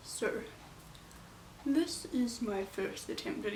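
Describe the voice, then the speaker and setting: Lively intonation marks a woman's speech, heard through noticeable background noise. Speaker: book reviewer. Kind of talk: casual book review talk to camera. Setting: home room, no microphone, ambient noise.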